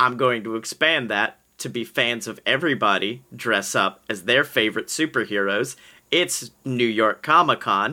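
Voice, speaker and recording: A bright, sharp voice in an American accent at a moderate pace, with ordinary pitch variation, on a very clean recording with a silent background. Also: man, medium pitch for a man. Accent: slight Southern accent, shifting. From Alabama, US South. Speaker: podcast guest, performer. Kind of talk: casual improv chat.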